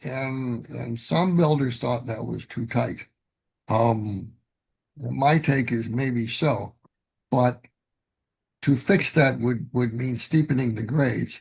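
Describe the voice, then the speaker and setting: A man with a medium pitch and a somewhat breathy voice speaks very slowly with ordinary pitch variation and long, frequent pauses. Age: 70s. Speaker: model railroader presenting a clinic. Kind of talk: virtual clinic presentation. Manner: halting, many repetitions and fillers.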